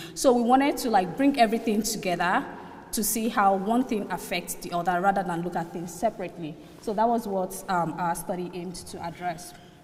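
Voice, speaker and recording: At a fairly quick pace, a woman with a medium pitch and ordinary pitch variation speaks with big swings in loudness amid audible room echo. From Nigeria. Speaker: student researcher presenter. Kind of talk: conference presentation.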